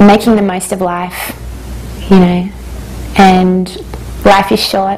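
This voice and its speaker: A woman with an Australian accent at a fairly slow pace, amid noticeable background noise and audible room echo. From Australia, Hungarian parents. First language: Hungarian. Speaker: singer-songwriter. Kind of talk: interview.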